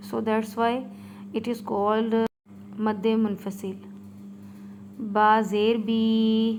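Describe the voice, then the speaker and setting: A woman with a Pakistani accent, fairly high-pitched and monotone, at a very slow pace with long, frequent pauses and audible room echo. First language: Urdu. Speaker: Quran reading teacher. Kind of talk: tutorial. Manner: hesitant, many fillers; slow letter-by-letter spelling.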